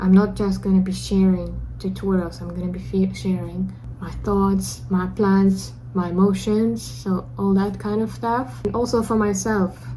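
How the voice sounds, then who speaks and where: Amid audible room echo and noticeable background noise, someone talks fairly slowly. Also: woman. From Russia. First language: Russian. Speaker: beginner game developer vlogger. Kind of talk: personal video diary.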